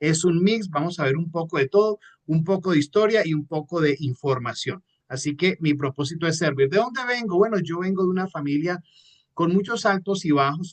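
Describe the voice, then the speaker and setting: Dry, close sound with no echo and ordinary pitch variation. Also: man, high pitch for a man. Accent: Colombian coastal. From Colombia, Caribbean coast (Santa Marta) and Manizales. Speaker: entrepreneur and motivational trainer. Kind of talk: online training talk. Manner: fast; animated.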